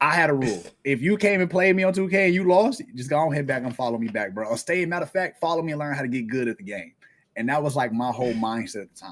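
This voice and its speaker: Loud and very fast, a man speaks in a fairly high voice with very wide pitch swings. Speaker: streamer. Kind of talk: casual chat. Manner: animated.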